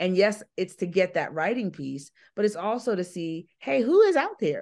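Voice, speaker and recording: An unremarkable speaking voice from a woman, with ordinary pitch variation, a moderate pace, and a quiet background. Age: 50s. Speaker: public speaker and business owner. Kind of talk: interview.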